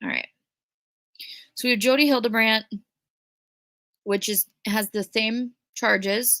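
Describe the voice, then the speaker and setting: On a very clean recording with a silent background, a woman with a Minnesotan accent speaks at a fairly high pitch in a bright, sharp tone, with fairly even intonation, a fairly slow pace and long, frequent pauses, the sound dry and close with no echo. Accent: Minnesota. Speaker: true crime YouTuber. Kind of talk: livestream commentary. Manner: casual, chatty.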